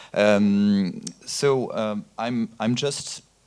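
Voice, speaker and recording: A man with a French accent. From France. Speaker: VOD platform executive. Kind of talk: panel discussion.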